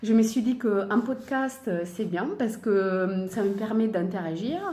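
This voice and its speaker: With an Italian accent, a woman speaks very slowly with ordinary pitch variation, amid noticeable background noise and audible room echo. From Italy. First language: Italian (speaking French). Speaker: sewing and knitting podcaster. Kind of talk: casual chat. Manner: hesitant, many fillers.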